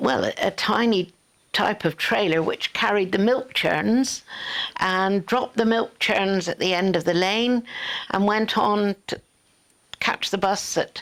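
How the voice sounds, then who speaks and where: In a Devon accent, the speaker goes at a very slow pace with long, frequent pauses, very even loudness and ordinary pitch variation. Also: woman. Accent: Devon rural English. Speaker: local resident recalling childhood. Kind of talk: oral history interview. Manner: halting.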